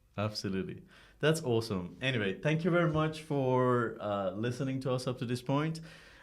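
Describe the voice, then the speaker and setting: Speaking with a non-native accent, a man at a medium pitch makes very wide pitch swings. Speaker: podcast host. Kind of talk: casual interview.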